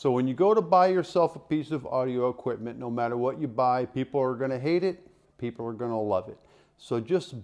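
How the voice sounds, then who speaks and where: A man with an ordinary speaking voice, medium pitch and ordinary pitch variation against a quiet background. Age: 60s. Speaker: YouTuber reviewing audio equipment. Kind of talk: casual unboxing review.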